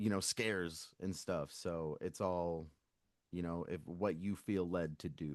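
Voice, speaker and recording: Very deep and low, a man's voice with an American accent goes at a fairly slow pace with fairly even intonation against a quiet background. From Virginia, US. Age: 40s. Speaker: punk band lead singer. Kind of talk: casual interview chat.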